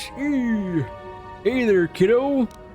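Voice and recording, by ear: Over clear music in the background, someone performs a put-on character voice at a fairly high pitch.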